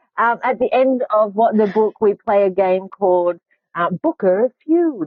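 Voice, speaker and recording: Speaking slowly-ish with an Australian accent, a woman keeps her loudness very even while her fairly high voice carries lively intonation. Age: 40s. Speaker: podcast host; author. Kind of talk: casual chat.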